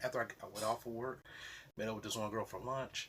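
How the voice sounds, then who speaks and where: A man's somewhat breathy voice. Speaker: vlogger. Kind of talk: casual vlog monologue. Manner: halting, self-described stuttering.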